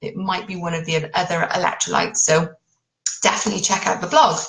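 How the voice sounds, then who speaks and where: A woman with a British accent, fairly low in pitch, at a moderate pace. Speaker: keto diet coach. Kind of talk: live stream talk. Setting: live Facebook video. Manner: informal.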